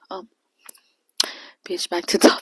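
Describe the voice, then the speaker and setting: A woman's voice, dry and close with no echo. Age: 20s. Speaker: beauty YouTuber and single mom. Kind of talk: casual vlog rant. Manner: loud; animated.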